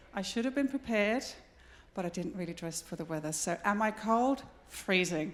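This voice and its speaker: A woman speaks at a moderate pace with very wide pitch swings. Noticeable background noise runs under her voice. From Denmark. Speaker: contact centre industry consultant. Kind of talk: conference presentation. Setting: stage with audience.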